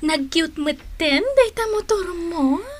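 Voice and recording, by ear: A woman uses a put-on character voice at an extremely high pitch. She speaks at a slow pace with lively intonation.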